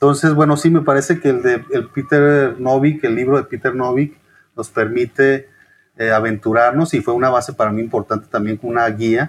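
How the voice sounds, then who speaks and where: In an unremarkable speaking voice, a man talks at a moderate pace, medium in pitch and fairly even in intonation. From Chihuahua, northern Mexico. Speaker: historian and author. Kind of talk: interview.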